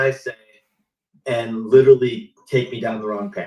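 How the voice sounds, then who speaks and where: A man's medium-pitched, somewhat breathy voice at a moderate pace. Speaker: automotive marketing consultant. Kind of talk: live panel discussion. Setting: live stream. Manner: animated.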